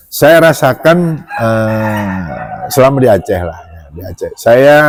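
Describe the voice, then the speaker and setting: Speaking at a fairly slow pace, a man with a medium-pitched voice makes very wide pitch swings. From Java. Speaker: doctor. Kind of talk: casual chat.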